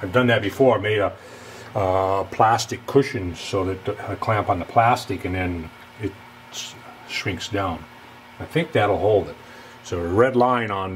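A man speaks fairly slowly at a fairly low pitch, with ordinary pitch variation and long, frequent pauses. Light background noise is present. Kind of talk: casual workshop tutorial. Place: workshop. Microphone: camera far.

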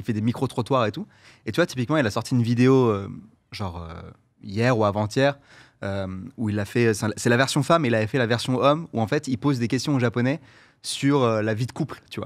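Against a quiet background, a man at medium pitch talks at a fairly quick pace with ordinary pitch variation, broken by long, frequent pauses. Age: 30s. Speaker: content creator; guest. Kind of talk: casual chat. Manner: hesitant, many fillers. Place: studio. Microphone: studio mic.

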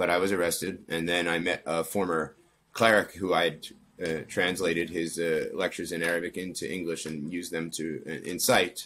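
A man with an American accent talks with a very deep, low pitch and monotone, flat intonation. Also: moderate pace. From Pennsylvania, US. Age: 30s. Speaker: former extremist turned counter-extremism researcher; interview guest. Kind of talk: interview. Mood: calm, reflective. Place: home room. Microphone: earbuds.

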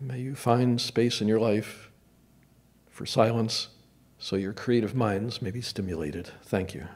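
Soft-spoken and with a gentle, calm tone, a man talks at a fairly slow pace in a General American accent. His loudness swings a lot. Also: ordinary pitch variation. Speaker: meditation leader. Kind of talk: guided meditation. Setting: church service with audience. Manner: slow, calm, with long pauses; soft-spoken, gentle. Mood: calm, gentle. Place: church. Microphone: podium.

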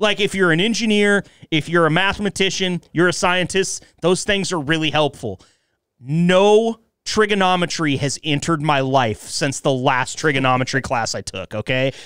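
A man talks at a moderate pace with lively intonation and a high pitch. The sound is dry with no echo, and the background is quiet. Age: 30s. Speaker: podcast host. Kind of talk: casual chat. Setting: studio. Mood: relaxed, joking, drinking beer. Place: studio. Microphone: studio mic.

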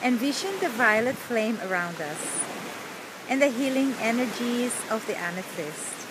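A woman speaks in a fairly high, soothing voice with very wide pitch swings. The sound is dry with no echo, over noticeable background noise. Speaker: spiritual healer. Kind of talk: guided angel-healing meditation with invocations over ocean waves. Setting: ocean waves audible in background. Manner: slow, soothing, gently instructive pacing; reverent, incantatory tone calling on archangels. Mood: calm, soothing. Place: beach. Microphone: phone near.

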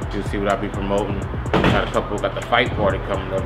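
A man rattles off his words at a very fast pace while music plays behind him. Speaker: DJ. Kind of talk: interview answer. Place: hall.

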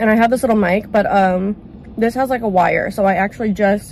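A woman at a fairly quick pace, her sound dry with no echo, over light background noise. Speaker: vlogger. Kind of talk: casual mukbang vlog chat. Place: car. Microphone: lapel.

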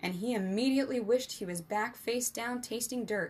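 This reading voice sounds natural, and its pitch shifts in an ordinary way.

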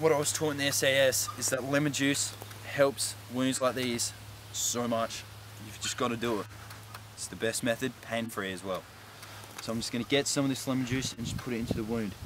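A man speaks at a fairly quick pace with fairly even intonation, the sound dry with no echo, over noticeable background noise. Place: forest. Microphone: camera far.

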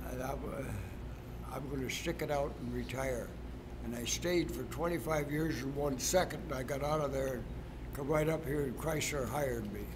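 A moderate pace over noticeable background noise. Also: man. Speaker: retired track coach. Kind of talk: interview answer. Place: gym.

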